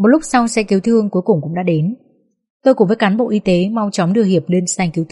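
The text is read aloud plainly, with ordinary pitch variation. Nothing intrudes from the quiet background.

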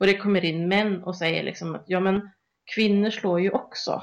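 Over a quiet background, a woman speaks at a moderate pace with medium pitch and fairly even intonation. She has an unremarkable speaking voice. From Sweden. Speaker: podcast co-host. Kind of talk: casual discussion.

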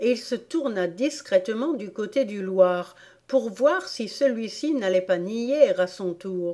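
The reading voice is unforced. Its intonation stays lively.

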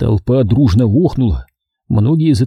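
This is plain reading aloud with lively intonation. The background is quiet.

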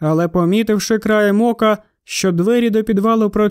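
The background is quiet while someone is reading aloud in a natural voice.

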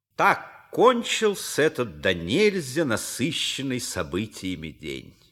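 A put-on character voice with a fairly bright tone moves at a slow pace through big pitch swings. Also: man, medium pitch for a man.

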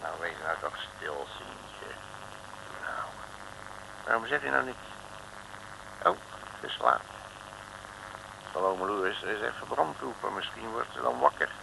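A man's put-on character voice, fairly low and full of vocal fry, with lively intonation, long and frequent pauses, and clear background noise. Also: fairly slow pace.

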